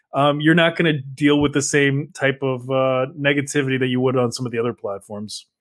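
With hardly any pauses, a man speaks at a fairly quick pace, with fairly even intonation and a fairly high pitch. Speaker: content creator. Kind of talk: interview. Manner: hesitant, filler-heavy.

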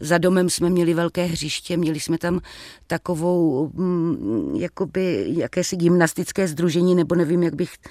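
In an ordinary speaking voice, a woman speaks at a fairly slow pace with a fairly low pitch and ordinary pitch variation, the sound dry and close with no echo. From Moravia, Czech Republic (Třebíč). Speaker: actress. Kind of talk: interview. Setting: remote studio link.

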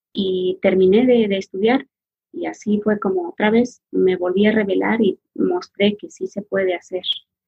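A somewhat breathy woman's voice at medium pitch, with fairly even intonation and a fairly slow pace. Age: 40s. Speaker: massage therapist. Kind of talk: interview, personal life story.

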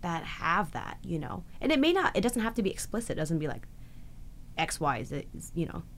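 In a Canadian accent, the voice moves at a fairly quick pace with very wide pitch swings over noticeable background noise. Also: woman, fairly low pitch for a woman. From Canada. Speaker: actress. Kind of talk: interview.

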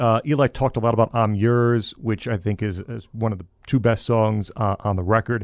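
A man with a normal speaking voice talks at a moderate pace in a dry, close sound with no echo and a quiet background. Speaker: podcast host. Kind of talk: casual chat.

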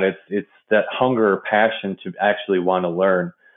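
A man with a fairly low pitch talks at a fairly slow pace in an ordinary speaking voice. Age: 30s. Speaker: industrial water treatment professional. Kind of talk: interview conversation.

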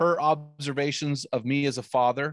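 In a very clean recording with a silent background and a dry, close sound with no echo, a plain, everyday voice moves at a moderate pace with ordinary pitch variation. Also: man. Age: 50s. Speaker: author and men's ministry podcaster. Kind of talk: casual interview chat.

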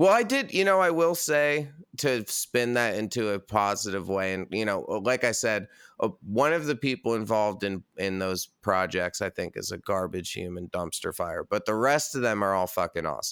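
Using an unremarkable speaking voice, a man with a fairly low pitch and lively intonation talks at a moderate pace on a very clean recording with a silent background. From US Northeast (New York State). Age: 30s. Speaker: metal band singer and podcaster. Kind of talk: casual chat.

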